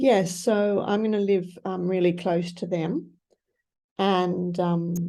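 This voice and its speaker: In an Australian accent, the voice has a dark, mellow tone, fairly even intonation and a very slow pace. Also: woman, medium pitch for a woman. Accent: mild Australian. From Australia, grew up in Asia. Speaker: author and missionary. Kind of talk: interview answer.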